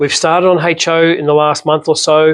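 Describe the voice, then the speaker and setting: A man with an Australian accent speaks at a moderate pace in a fairly high, monotone, flat voice. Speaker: slot car shop owner. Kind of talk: casual product talk to camera. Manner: short of breath.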